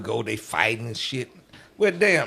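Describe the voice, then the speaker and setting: With very wide pitch swings and an animated tone, a man talks at a fairly quick pace over noticeable background noise. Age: 60s. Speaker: club DJ. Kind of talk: casual interview chat.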